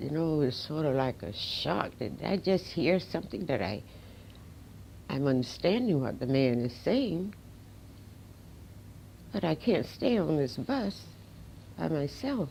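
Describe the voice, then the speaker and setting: Her very deep, low voice has a dark, mellow tone and vocal fry, and the woman speaks fairly slowly with long, frequent pauses and very wide pitch swings. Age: 80s+. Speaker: civil rights pioneer, army veteran. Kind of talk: interview answer, personal recollection.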